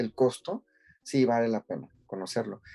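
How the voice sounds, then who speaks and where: A man with a dark, mellow tone is heard in a very clean recording with a silent background. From Mexico. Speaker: podcast co-host. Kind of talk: casual chat.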